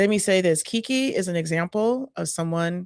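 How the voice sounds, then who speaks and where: Here is a woman with a plain, everyday voice, fairly low in pitch and ordinary in pitch variation. She speaks at a moderate pace, and the sound is dry and close with no echo. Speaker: community center staff. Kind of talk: casual interview. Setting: live stream.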